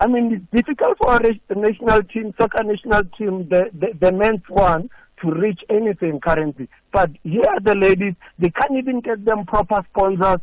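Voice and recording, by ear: A high-pitched man at a moderate pace, with ordinary pitch variation and few pauses.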